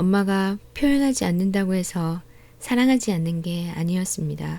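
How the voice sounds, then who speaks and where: Talking at a fairly slow pace, a woman of medium pitch has a dark, mellow tone and ordinary pitch variation. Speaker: audiobook narrator. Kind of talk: audiobook essay reading. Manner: soft-spoken.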